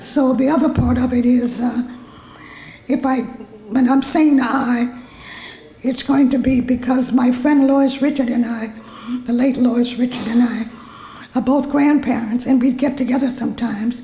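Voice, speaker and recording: The speaker has an American accent and talks at a fairly slow pace with long, frequent pauses, monotone, flat intonation and very even loudness. Audible room echo and noticeable background noise are present. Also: woman. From US South, New Orleans. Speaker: honored community activist. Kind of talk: personal speech at awards event.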